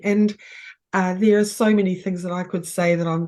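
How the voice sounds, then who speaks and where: With a New Zealand accent, a woman speaks at a medium pitch using fairly even intonation. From New Zealand, Wellington. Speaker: game facilitator. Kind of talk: casual sharing in group game. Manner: halting, many fillers.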